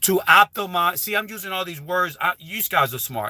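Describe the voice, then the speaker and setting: A man speaks in an animated tone, the sound dry and close with no echo. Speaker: YouTuber giving channel growth advice. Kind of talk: live stream talk. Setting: live stream with headset.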